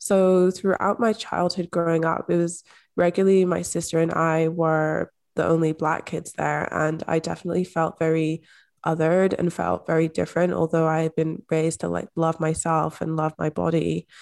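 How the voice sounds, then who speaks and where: With a Scottish accent, a woman speaks at a moderate pace and fairly low pitch, her intonation monotone and flat, her loudness very even, on a very clean recording with a silent background. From rural Scotland. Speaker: manifestation and mindset coach. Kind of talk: interview conversation.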